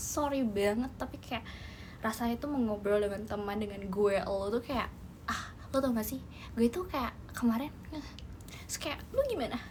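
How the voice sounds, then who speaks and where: With noticeable background noise and audible room echo, a woman speaks at a moderate pace and a fairly high pitch with ordinary pitch variation. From Indonesia, West Java. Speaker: idol group member. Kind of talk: live stream chat. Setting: live stream. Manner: animated.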